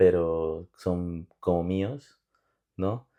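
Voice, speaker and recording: With fairly even intonation, a man talks in a dark, mellow tone over a quiet background. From Bolivia, Cochabamba. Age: 30s. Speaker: immigrant guest. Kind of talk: interview.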